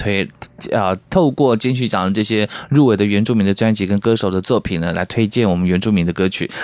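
Speaking at a fairly quick pace, the man has a fairly low pitch and ordinary pitch variation. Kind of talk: radio interview chat.

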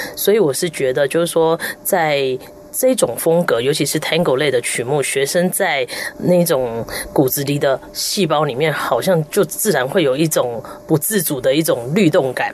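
With noticeable background noise behind her, a woman speaks at a moderate pace in a very deep, low voice with lively intonation. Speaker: erhu player and music professor. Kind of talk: radio interview.

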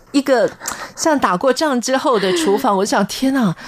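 There is noticeable background noise as a woman talks with lively intonation. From Taiwan, military dependents' village. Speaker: radio host. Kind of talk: radio interview.

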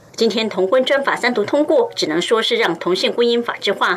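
A woman talks at a fairly quick pace with lively intonation against noticeable background noise. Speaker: news reporter. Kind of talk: news report.

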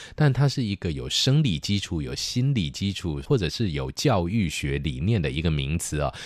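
Very deep and low in pitch, a man talks at a moderate pace with hardly any pauses. His pitch swings very widely on a very clean recording with a silent background. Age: 50s. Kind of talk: casual chat.

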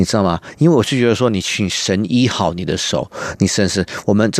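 A man speaks at a fairly quick pace with a fairly low pitch. His intonation is lively. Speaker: cellist and music school owner. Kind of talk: interview conversation. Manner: halting, searching for words.

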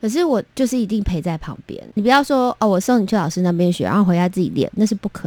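This woman's voice has a dark, mellow tone and lively intonation. The recording is very clean, with a silent background. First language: Taiwanese Hokkien (speaking Chinese). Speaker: children's music producer. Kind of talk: interview.

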